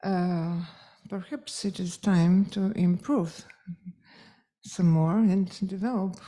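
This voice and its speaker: Somewhat breathy and dark, mellow in tone, the voice carries a Polish accent and moves at a very slow pace with long, frequent pauses, on a very clean recording with a silent background. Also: woman, medium pitch for a woman. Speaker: music teacher and event organizer. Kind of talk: closing speech. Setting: conference hall with audience. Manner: halting, with fillers.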